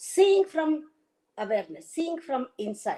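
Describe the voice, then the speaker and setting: A woman is speaking. Her tone is dark and mellow. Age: 70s. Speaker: spiritual teacher. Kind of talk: inspirational talk. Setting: video call.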